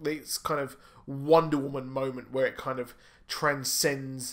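A man with a British accent speaks over a quiet background. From UK. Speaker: YouTube comic and film commentator. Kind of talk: solo video commentary and review. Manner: animated. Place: home room. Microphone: studio mic.

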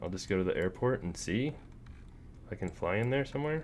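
Here a man speaks at a moderate pace in a fairly low voice with vocal fry and very wide pitch swings. Light background noise is present. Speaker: gaming YouTuber. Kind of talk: casual gameplay commentary. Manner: rambling, self-deprecating. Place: home room.

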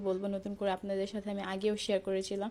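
A middle-pitched female voice, dark and mellow in tone. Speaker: home baker. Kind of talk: tutorial.

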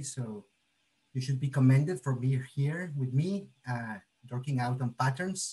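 A man speaks with a dark, mellow tone that is somewhat breathy. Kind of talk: lecture. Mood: cheerful, friendly. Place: kitchen. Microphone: video call.

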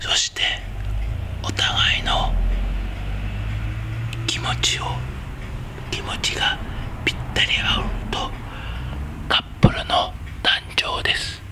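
Amid loud background noise, a man speaks at a very slow pace with long, frequent pauses. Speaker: hair salon owner. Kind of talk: picture book reading. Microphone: studio mic.

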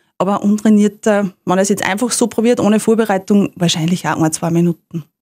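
A woman with a fairly high pitch talks at a very fast pace in a dry, close sound with no echo. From Upper Austria, Rohrbach district. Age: 30s. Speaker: lawyer and freediver. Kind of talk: interview.

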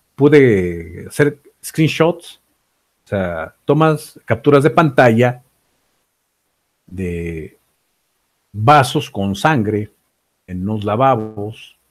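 With long, frequent pauses, a man speaks at a very slow pace in a slightly mellow tone, his pitch making big swings.

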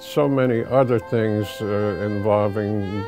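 A man's fairly low voice at a very slow pace, dry with no echo, over clear music in the background. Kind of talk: interview answer. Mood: warm, reminiscing. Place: office. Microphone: lapel.

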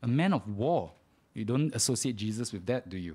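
Speaking in a dark, mellow tone, a man is heard. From Singapore. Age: 30s. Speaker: preacher. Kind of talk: sermon. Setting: church. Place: church.

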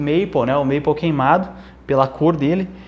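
A man with a fairly high-pitched voice. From Brazil. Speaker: guitar teacher and YouTuber; guitar teacher, reviewer. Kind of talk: unboxing video. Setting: at home. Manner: animated. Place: home room. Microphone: lapel.

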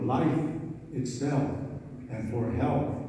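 Under light background noise and strong room echo, a man with an American accent speaks in a monotone, flat intonation. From US Midwest, Minnesota reservation. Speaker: speaker. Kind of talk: prayer. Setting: convention hall with audience. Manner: slow. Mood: solemn, reverent. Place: hall. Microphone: pa.

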